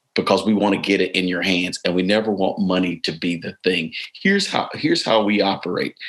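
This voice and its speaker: At a fairly quick pace, a man talks in an ordinary speaking voice, his fairly low pitch held to fairly even intonation. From US South, East Tennessee. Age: 60s. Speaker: bishop. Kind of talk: interview conversation. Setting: live webinar.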